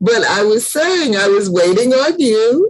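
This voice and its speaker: Fairly slow and high-pitched, a woman speaks with very wide pitch swings. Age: 60s. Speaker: book club host. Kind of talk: casual chat.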